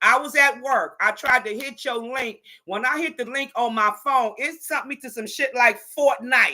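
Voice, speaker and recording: Her high, bright, sharp voice is raised and projected, with big swings in loudness and an animated tone. This woman talks at a moderate pace with ordinary pitch variation and hardly any pauses. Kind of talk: casual chat.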